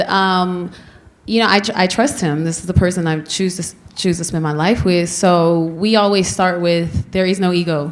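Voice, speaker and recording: A woman speaks in an ordinary speaking voice at medium pitch, with ordinary pitch variation and a moderate pace. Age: 30s. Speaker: artist. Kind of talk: panel discussion.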